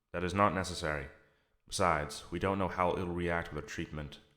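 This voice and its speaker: A man puts on a character voice, very deep, low and resonant. He speaks at a fairly quick pace with fairly even intonation. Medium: read story. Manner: calm, patient, politely insistent.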